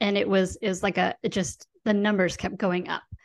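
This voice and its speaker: A woman uses an ordinary speaking voice at a medium pitch and moderate pace. The background is quiet. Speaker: podcast host and money coach. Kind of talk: casual interview. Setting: studio.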